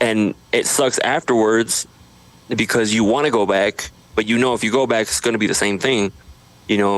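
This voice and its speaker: A man talks with an American accent at a moderate pace. His intonation is fairly even, and there is noticeable background noise. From Idaho, US. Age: 30s. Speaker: social media creator. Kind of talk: podcast interview. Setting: home studio.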